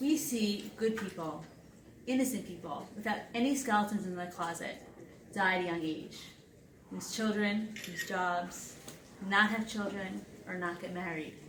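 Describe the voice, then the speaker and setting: A woman of medium pitch at a moderate pace with ordinary pitch variation and long, frequent pauses, amid noticeable background noise and audible room echo. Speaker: speaker sharing personal story. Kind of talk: presentation to audience.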